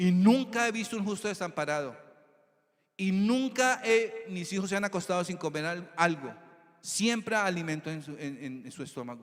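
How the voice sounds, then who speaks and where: At a moderate pace, a man talks with lively intonation. His pitch is high. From Colombia, Tolima (Armero). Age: 60s. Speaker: preacher. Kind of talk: sermon.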